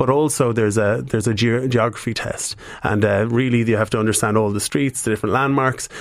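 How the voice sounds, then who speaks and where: Speaking at a fairly quick clip with an Irish accent, a man keeps his intonation fairly even over noticeable background noise. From Ireland, County Cavan. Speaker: business executive. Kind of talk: radio interview. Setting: studio.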